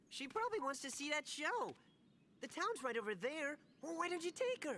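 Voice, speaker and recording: A put-on character voice, high-pitched, with very wide pitch swings and a fairly quick pace. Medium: video game. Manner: chatty, bratty, excitable.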